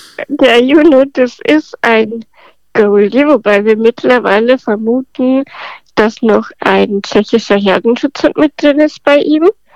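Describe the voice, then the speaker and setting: The woman's voice is high in pitch, with ordinary pitch variation and very even loudness. She speaks at a very slow pace, and the sound is dry and close with no echo. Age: 20s. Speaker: podcast guest with spinal muscular atrophy. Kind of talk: casual interview.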